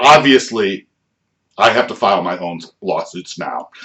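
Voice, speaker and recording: This man talks at a moderate pace. He has an American accent. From United States. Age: 60s. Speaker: vlogger, patient and activist. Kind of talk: personal testimony vlog. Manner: halting, many fillers and repetitions.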